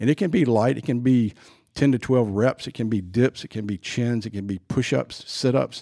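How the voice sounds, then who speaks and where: A man's dark, mellow tone at medium pitch with ordinary pitch variation and a moderate pace, dry and close with no echo, on a very clean recording with a silent background. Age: 60s. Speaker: sports performance trainer. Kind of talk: casual chat. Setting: studio.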